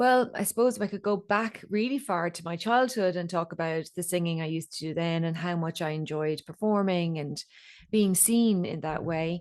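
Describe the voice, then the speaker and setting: A woman with an Irish accent over a quiet background. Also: fairly low pitch for a woman, ordinary pitch variation, moderate pace. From Ireland. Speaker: voice coach and singer. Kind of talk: podcast interview.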